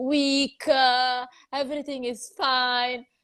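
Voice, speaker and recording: With an Italian accent, a woman speaks at a very slow pace in a high pitch. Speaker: psychologist and video host. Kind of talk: interview chat. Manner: hesitant, many fillers.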